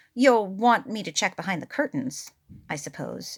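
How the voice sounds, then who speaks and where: A woman uses a put-on character voice at medium pitch and a moderate pace, in a very clean recording with a silent background. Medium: read story. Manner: fussy, stiffly formal.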